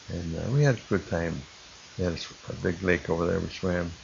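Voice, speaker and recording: Speaking at a moderate pace, a man with an American accent uses lively intonation. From Illinois, Chicago area. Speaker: war veteran. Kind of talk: oral history testimony. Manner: halting.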